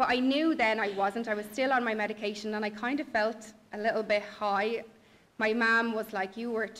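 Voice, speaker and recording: A woman with a Dublin accent speaks at a fairly quick pace. Her pitch is fairly high and her intonation fairly even. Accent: Dublin Irish. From Ireland, Dublin. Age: 20s. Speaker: blogger. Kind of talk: personal testimony. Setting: stage with audience. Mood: reflective, candid. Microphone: podium.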